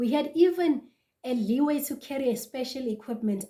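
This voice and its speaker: Ordinary pitch variation and a moderate pace from a woman speaking. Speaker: vlogger. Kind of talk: casual vlog talk to camera.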